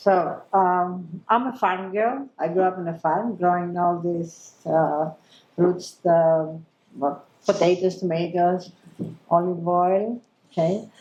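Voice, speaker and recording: A woman speaks very slowly in a Greek accent. Her fairly low voice has a dark, mellow tone. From Greece. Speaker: chef and TV presenter. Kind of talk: panel discussion. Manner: animated.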